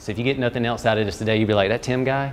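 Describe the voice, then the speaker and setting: His voice sits at a medium pitch. The man speaks with a Southern US accent. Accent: Southern US, noticeable. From North Carolina (Fuquay-Varina, near Raleigh). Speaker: strength coach presenter. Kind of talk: workshop presentation. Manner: casual, conversational with hesitations.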